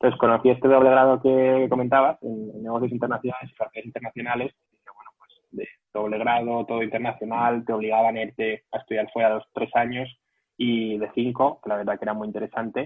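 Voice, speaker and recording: Talking very fast in a Madrid accent, a man with a medium pitch keeps a flat, monotone intonation while his loudness swings widely. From Madrid region, Spain. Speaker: tech company employee. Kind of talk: interview. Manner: hesitant with repetitions.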